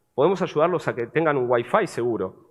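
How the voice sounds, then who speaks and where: A man speaks with a Buenos Aires accent. His intonation is lively. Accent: porteño accent, noticeable. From Argentina, Buenos Aires. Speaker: cybersecurity vendor representative. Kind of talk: conference presentation, sales pitch.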